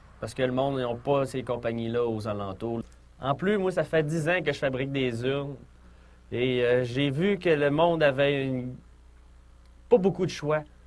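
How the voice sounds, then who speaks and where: A man with a Lac-Saint-Jean accent talks at a fairly slow pace, with ordinary pitch variation and long, frequent pauses. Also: medium pitch for a man. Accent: Lac-Saint-Jean Quebec French. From Quebec, Lac-Saint-Jean region. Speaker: urn maker starting a business. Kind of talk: testimony.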